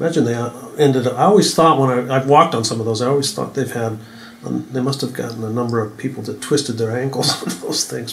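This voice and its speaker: A man speaks very fast at a medium pitch with ordinary pitch variation, and there is noticeable background noise. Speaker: author and editor. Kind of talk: casual interview chat.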